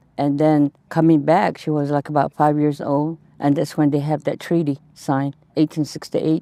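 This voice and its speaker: Over a very clean recording with a silent background and a dry, close sound with no echo, a woman with a Southwestern US accent speaks at a moderate pace in a very deep, low, dark, mellow voice with monotone, flat intonation. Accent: Navajo-accented English. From Navajo Nation, Arizona. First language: Navajo. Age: 70s. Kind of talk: interview testimony. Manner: halting.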